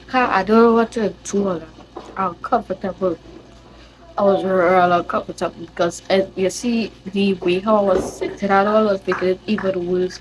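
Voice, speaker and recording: Noticeable background noise sits under a woman with a Trinidadian accent. Her medium-pitched voice stays monotone and flat. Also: moderate pace. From Trinidad and Tobago. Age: young. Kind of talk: casual storytime to camera.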